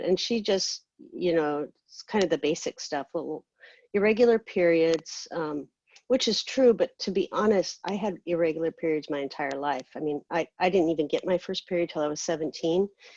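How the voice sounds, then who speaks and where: Recorded dry and close with no echo against a quiet background, a woman speaks at a fairly low pitch and moderate pace with ordinary pitch variation. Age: 50s. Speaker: patient with cystic fibrosis. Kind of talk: panel talk on personal experience. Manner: halting, many fillers.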